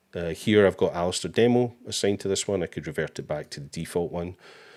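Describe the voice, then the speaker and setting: In a very clean recording with a silent background, a man with a Scottish accent speaks in a very deep, low pitch with ordinary pitch variation. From Scotland. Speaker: livestream host for a photo website company. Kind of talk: live software tutorial with viewer Q&A. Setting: live stream with screen share. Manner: casual, with many fillers.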